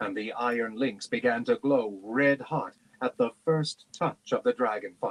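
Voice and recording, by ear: Text is being read aloud in a natural voice.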